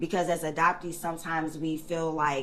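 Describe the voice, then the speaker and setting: A woman speaks at a fairly slow pace in a fairly low voice. Her words carry an audible room echo. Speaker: hairstylist and adoptee advocate. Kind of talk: casual interview. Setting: hair salon, live recording. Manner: confident, animated.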